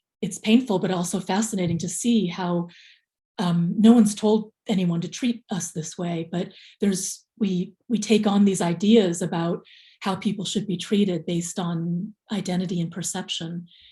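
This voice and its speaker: An American accent colors a woman's dark, mellow tone, which is somewhat breathy and fairly even in intonation. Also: medium pitch for a woman, moderate pace. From USA, came from the Philippines at age two. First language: Tagalog. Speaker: memoir author. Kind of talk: interview. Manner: hesitant, many fillers.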